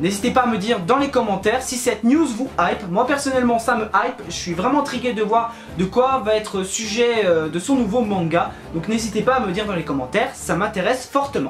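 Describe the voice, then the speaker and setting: Over music in the background, the speech moves at a fairly quick pace with ordinary pitch variation and audible room echo. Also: man, high pitch for a man. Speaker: YouTuber, manga news. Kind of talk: casual video commentary. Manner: fast; hesitant, many fillers.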